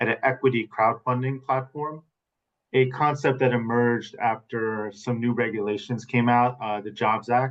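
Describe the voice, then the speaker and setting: Here a man speaks with an American accent in an ordinary speaking voice at a medium pitch. He keeps a moderate pace and fairly even intonation. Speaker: startup founder in fintech. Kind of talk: webinar panel discussion.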